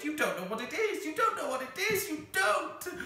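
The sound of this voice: A put-on character voice, squeaky and extremely high, swings very widely in pitch at a moderate pace with a slight echo.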